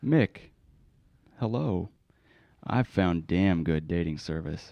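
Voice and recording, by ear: Putting on a character voice, a man speaks slowly at a low pitch with vocal fry and lively intonation.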